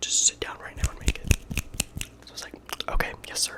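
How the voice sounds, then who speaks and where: Whispering at a very fast pace, a man speaks over noticeable background noise. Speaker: college engineering student; ASMR creator. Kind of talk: ASMR whisper ramble. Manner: whispered; casual, chatty.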